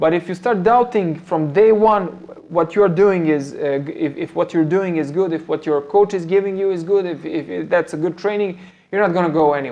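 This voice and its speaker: The speaker has a Serbian accent. The pace is fairly quick. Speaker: MMA coach. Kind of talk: live stream Q&A talk. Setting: live stream on phone camera. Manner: halting, many fillers and repetitions. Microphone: phone front-facing camera, not ideal setup.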